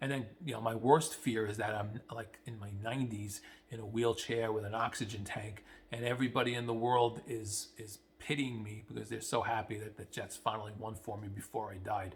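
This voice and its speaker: A man's somewhat breathy voice stays fairly even in intonation but swings widely in loudness. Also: medium pitch for a man, moderate pace. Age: 50s. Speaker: sports fan vlogger. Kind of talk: casual commentary monologue. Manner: halting, many fillers and repeats.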